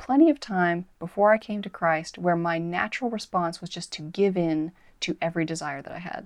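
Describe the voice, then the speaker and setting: A woman's normal speaking voice with an American accent at a moderate pace. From United States. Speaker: author. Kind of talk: interview.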